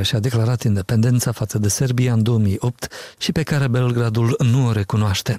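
At a moderate pace, a man of medium pitch speaks in a somewhat breathy voice with a dark, mellow tone, the sound dry and close with no echo. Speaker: radio journalist. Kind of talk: news reading.

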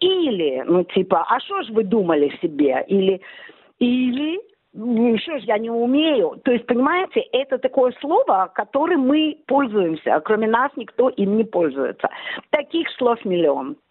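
Her pitch swings very widely. The woman's voice sits high. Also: fairly slow pace. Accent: Odessa. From Odessa, Ukraine. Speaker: blogger. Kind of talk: interview. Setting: phone call.

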